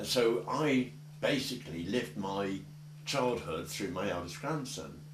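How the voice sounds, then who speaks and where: A man's fairly low voice at a fairly slow pace with very wide pitch swings, plus audible room echo and noticeable background noise. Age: old. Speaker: oral history interviewer. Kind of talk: oral history interview.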